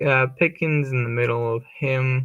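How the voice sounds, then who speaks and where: At a moderate pace, a man of medium pitch speaks in an unremarkable speaking voice with fairly even intonation. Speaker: fantasy football streamer. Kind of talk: live stream commentary. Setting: live stream.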